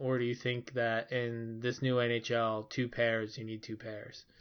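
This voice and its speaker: A speaker with an American accent talks at a moderate pace in a flat, monotone delivery. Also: man. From Philadelphia, US. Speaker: podcast host. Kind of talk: casual chat. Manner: halting, filler-heavy.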